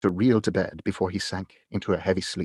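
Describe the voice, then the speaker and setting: At a moderate pace, a man with an unremarkable speaking voice talks with fairly even intonation, the sound dry and close with no echo. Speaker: audiobook narrator. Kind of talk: audiobook reading of a classic novel, read aloud.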